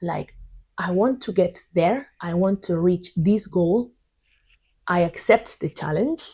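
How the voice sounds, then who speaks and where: Somewhat breathy, very slow speech from a woman with a Spanish accent, fairly low pitch and a dark, mellow tone. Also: very clean recording, silent background. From Spain. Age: 30s. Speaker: English teacher. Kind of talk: tutorial. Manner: halting.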